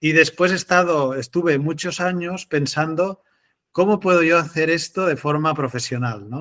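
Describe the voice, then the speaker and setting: In a very clean recording with a silent background, a man with a fairly high pitch and an ordinary speaking voice talks at a moderate pace with ordinary pitch variation. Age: 30s. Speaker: entrepreneur. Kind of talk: interview.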